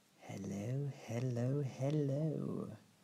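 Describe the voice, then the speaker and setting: Someone speaks in a wheezy, put-on character voice. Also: man, medium pitch for a man. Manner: whispering, sinister.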